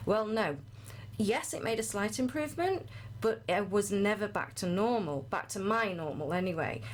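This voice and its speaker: Her intonation lively, a woman with a medium pitch speaks with vocal fry. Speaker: health and wellbeing coach. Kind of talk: podcast interview, personal testimony. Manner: fast.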